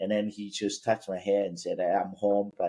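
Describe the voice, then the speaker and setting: Here a man speaks with a Cantonese accent. His pitch is fairly low. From Vietnam. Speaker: business founder. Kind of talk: personal story in interview.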